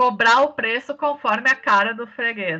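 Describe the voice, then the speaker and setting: Speaking in a southern Brazilian accent, the voice moves at a very slow pace. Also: woman. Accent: gaúcho (southern Brazilian). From Rio Grande do Sul, southern Brazil. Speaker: teacher. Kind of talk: online lecture. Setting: remote class.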